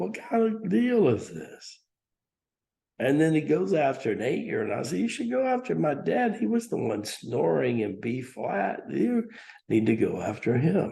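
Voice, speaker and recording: A man's fairly high voice with a dark, mellow tone, vocal fry and very wide pitch swings. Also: fairly slow pace. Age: 60s. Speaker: spiritual teacher. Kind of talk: talk.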